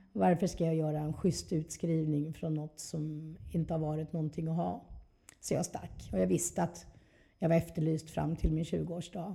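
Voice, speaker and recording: A woman speaks at a moderate pace in a very deep, low, somewhat breathy voice with a dark, mellow tone. Her pitch moves in an ordinary way. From Skåne, southern Sweden. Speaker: recovering addict sharing her story. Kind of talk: testimony.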